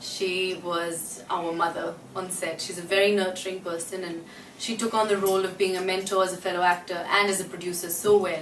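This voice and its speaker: Over noticeable background noise and audible room echo, a woman talks at a fairly quick pace. Her medium-pitched voice is monotone and flat. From Australia. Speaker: actress. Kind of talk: interview. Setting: her apartment.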